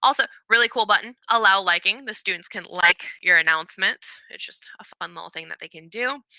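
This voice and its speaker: A woman speaks at a fairly quick pace with a fairly high pitch and a bright, sharp tone. Her pitch variation is ordinary, her loudness swings widely, and the sound is dry and close with no echo. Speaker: elementary music teacher. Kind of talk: tutorial. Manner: fast.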